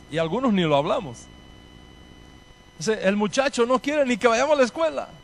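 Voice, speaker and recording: Speaking at a fairly quick pace, a man with a high pitch swings very widely in tone while keeping his loudness very even. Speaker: rabbi. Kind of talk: lecture.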